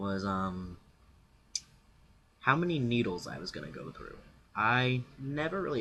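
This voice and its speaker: A man's bright, sharp voice at a fairly slow pace, with very wide pitch swings, big swings in loudness, and long, frequent pauses. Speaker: vlogger. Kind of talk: casual vlog Q&A. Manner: halting, many fillers.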